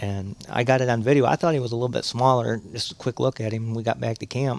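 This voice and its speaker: Very fast pace with fairly even intonation. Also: man. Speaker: hunter. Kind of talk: casual chat.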